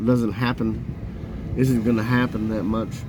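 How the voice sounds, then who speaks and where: A man at medium pitch talks at a very slow pace with fairly even intonation, and there is noticeable background noise. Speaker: truck driver. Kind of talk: casual talk to camera.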